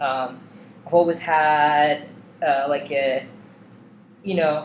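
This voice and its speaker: Audible room echo surrounds a man speaking very slowly in a monotone, flat intonation at a fairly high pitch. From eastern Russia. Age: 20s. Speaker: vlogger. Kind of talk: personal vlog. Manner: casual with many fillers.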